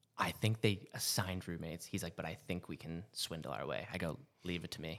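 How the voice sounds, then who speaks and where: An unremarkable speaking voice with an American accent, ordinary pitch variation and a moderate pace, in a very clean recording with a silent background. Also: man. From Massachusetts and New Hampshire. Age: 30s. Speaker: flight medic and army veteran. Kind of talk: casual chat.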